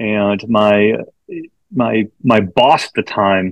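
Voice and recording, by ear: This man has an American accent and a fairly low pitch. His tone is fairly bright.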